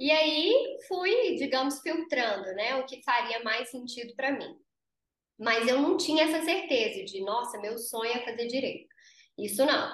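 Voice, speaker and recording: A woman's high voice, fairly slow, with lively intonation. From Brazil, interior of Minas Gerais. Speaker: lawyer and business founder. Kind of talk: interview.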